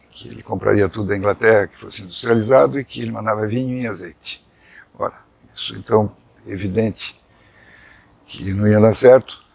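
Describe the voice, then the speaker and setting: A man talks at a fairly quick pace with long, frequent pauses, ordinary pitch variation and big swings in loudness. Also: fairly low pitch for a man. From Brazil, São Paulo. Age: 60s. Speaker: journalist. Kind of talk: life story interview.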